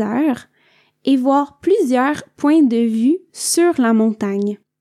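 A woman speaks very slowly in a Quebec accent, high-pitched with a dark, mellow tone. Her intonation is lively, and the recording is very clean with a silent background. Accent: Québécois French. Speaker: podcast host for French learners. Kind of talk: learner podcast monologue. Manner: clear and measured.

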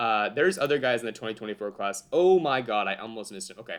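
An animated man at medium pitch talks at a very fast pace with lively intonation. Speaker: fantasy football writer and podcaster. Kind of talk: casual podcast chat about fantasy football. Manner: animated, joking.

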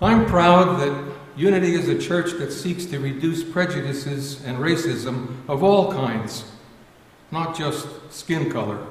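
Amid noticeable background noise and audible room echo, the speaker goes at a fairly slow pace with ordinary pitch variation. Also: man, fairly high pitch for a man. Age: 70s. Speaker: church member giving reflection. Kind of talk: sermon.

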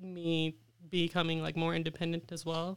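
A woman with an American accent, a plain, everyday voice and a moderate pace, on a very clean recording with a silent background. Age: 20s. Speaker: artist. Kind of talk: interview.

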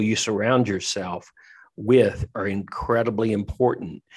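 With a Southern US accent, a man speaks at a moderate pace and ordinary pitch variation. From Tennessee. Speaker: pastor and leadership coach. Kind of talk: interview conversation.

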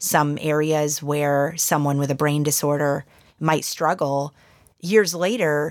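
At a fairly slow pace, a woman speaks in an enthusiastic tone with a very deep, low pitch. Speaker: neurologist and professor. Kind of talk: interview.

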